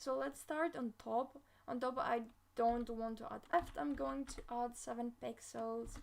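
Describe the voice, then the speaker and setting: A woman with a fairly high voice speaks at a fairly slow pace. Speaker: app developer, coding YouTuber. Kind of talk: live coding tutorial. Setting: livestream.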